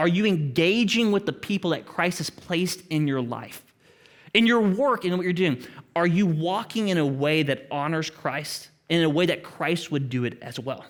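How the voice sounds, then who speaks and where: A man's high-pitched voice with an Oklahoma accent, lively intonation and a moderate pace. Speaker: pastor. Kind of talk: sermon. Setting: church with congregation.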